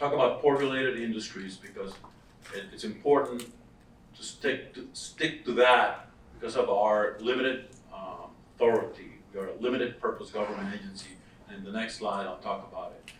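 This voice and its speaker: A voice with a Costa Rican accent moves at a fairly quick pace with big swings in loudness, and room echo is audible. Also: man, medium pitch for a man, ordinary pitch variation. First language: Spanish. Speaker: workforce development director. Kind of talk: conference presentation.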